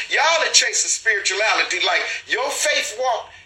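The man's pitch is extremely high and his intonation lively, with audible room echo and noticeable background noise around him. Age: 40s. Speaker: livestream show host. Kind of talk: casual livestream monologue. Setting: live stream. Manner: animated, repetitive.

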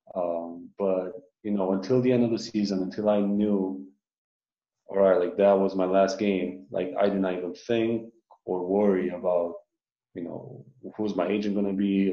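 A man's fairly low voice at a moderate pace. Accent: Romanian. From Romania. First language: Romanian. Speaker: professional basketball player. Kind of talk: casual interview.

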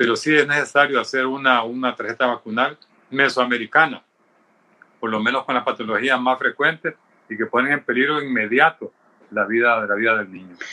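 Speaking in an unremarkable speaking voice, a man talks at a fairly quick pace and medium pitch with fairly even intonation. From Honduras. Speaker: pediatrician. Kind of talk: panel discussion.

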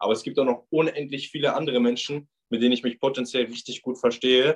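With ordinary pitch variation and a medium pitch, a man rattles through his words at a very fast pace. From Ruhr area, Germany (Bochum). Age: 20s. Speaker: backpacker. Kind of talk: casual interview.

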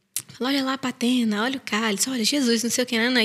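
A woman speaks very fast in a high voice. Noticeable background noise sits behind her. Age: 30s. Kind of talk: casual chat.

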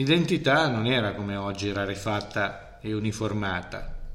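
Audible room echo hangs around a man whose voice sits fairly low in pitch. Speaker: teacher. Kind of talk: casual interview.

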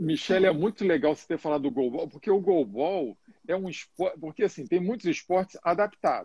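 The delivery moves at a fairly quick pace with lively intonation, and the sound is dry and close with no echo. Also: man. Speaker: live show host and coach. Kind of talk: live interview. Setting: Instagram live.

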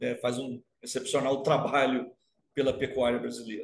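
A man with a medium pitch speaks with vocal fry. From Rio de Janeiro state, Brazil (Baixada Fluminense). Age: 50s. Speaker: university professor of animal science. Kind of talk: casual interview. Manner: halting, with many repetitions.

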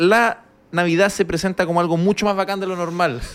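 At a moderate pace, a man with a Chilean accent speaks in an animated tone at a high pitch. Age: 30s. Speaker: comedian. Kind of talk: casual chat.

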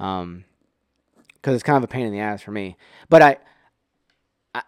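The recording is very clean, with a silent background and a dry, close sound with no echo. Pitch variation is ordinary. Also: man. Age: 30s. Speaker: podcaster. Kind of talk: casual monologue. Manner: halting, many repeated words.

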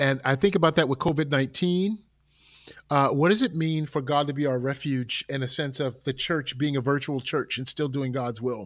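An ordinary speaking voice: a man with an American accent, fairly high in pitch, ordinary pitch variation, moderate pace. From Newark, New Jersey. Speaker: pastor and musician. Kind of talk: casual interview conversation. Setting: remote call from home.

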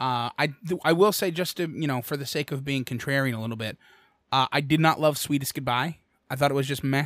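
A man's fairly high, a plain, everyday voice with an American accent, ordinary pitch variation and a fairly quick pace, on a very clean recording with a silent background. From Bucks County, Pennsylvania. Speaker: podcast host and cover band singer. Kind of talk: casual chat.

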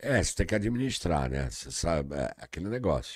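A man's very deep, low voice with vocal fry and very wide pitch swings, at a fairly quick pace, dry and close with no echo, on a very clean recording with a silent background. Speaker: comedian. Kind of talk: casual chat.

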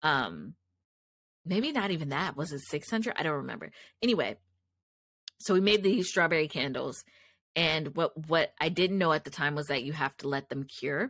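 The speaker sounds animated, with lively intonation broken by long, frequent pauses. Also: woman, very deep, low pitch for a woman, moderate pace. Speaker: podcast host and candle business owner. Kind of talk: casual solo monologue. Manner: loud; animated, filler-heavy.

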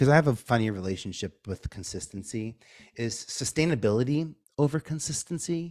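In a New York accent, a man speaks at a fairly slow pace with a fairly high pitch and very wide pitch swings. The recording is very clean, with a silent background and a dry, close sound with no echo. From New York (Staten Island). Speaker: media producer and branding consultant. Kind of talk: interview.

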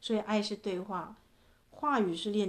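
Fairly even intonation from a woman, at a moderate pace. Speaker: podcast host and relationship coach. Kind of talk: reading aloud own poetic book with commentary. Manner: gentle, measured.

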